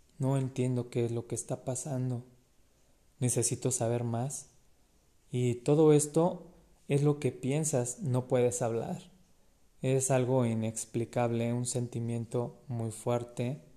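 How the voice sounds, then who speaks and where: At a very slow pace with long, frequent pauses, a man speaks in a dark, mellow tone at a medium pitch with fairly even intonation. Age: 30s. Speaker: person with epilepsy sharing experiences. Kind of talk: personal testimony.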